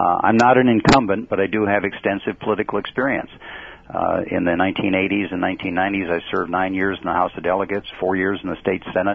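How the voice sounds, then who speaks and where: A man's fairly low voice at a very fast pace, with noticeable background noise. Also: fairly even intonation. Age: 60s. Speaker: political candidate. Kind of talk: radio interview. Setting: phone call.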